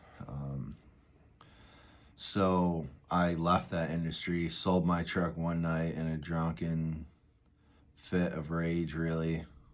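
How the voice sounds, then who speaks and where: A man's voice, very deep and low in pitch. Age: 30s. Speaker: recovery vlogger, former pipeline worker. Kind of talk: casual monologue. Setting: walking outdoors, parking lot. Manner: rambling, conversational with fillers.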